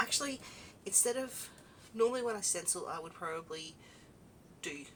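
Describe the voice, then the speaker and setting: Lively in intonation, a woman with an Australian accent talks at a moderate pace. Noticeable background noise runs underneath. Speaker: craft video host. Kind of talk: casual crafting chat. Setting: home craft room. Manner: relaxed, conversational.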